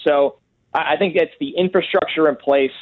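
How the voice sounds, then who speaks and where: In an ordinary speaking voice, a man with an American accent talks at a moderate pace, his fairly high pitch carried by lively intonation. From New York. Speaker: football draft analyst. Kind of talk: interview.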